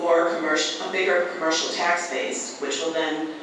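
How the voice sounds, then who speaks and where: Amid noticeable background noise and strong room echo, a man talks at a high pitch. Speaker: candidate. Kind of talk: debate answer. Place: hall.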